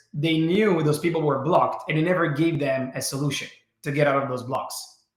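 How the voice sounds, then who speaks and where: A man speaks with an Italian accent. Room echo is audible. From Italy. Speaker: learning program co-founder. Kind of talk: webinar presentation. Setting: webinar.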